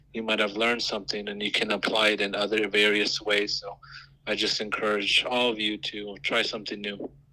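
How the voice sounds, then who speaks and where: A fairly low-pitched man with an American accent, a fairly quick pace and monotone, flat intonation, over noticeable background noise. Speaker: youth council member. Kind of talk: interview.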